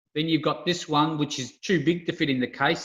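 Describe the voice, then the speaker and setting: A man with an Australian accent and ordinary pitch variation. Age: 60s. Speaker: retired amusement game industry worker. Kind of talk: casual interview chat. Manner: hesitant, many fillers.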